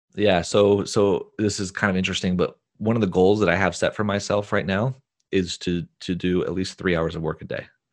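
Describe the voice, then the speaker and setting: Against a quiet background, a man with an ordinary speaking voice talks at a fairly quick pace, his fairly low pitch held in fairly even intonation. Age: 30s. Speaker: filmmaker and business coach. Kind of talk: interview.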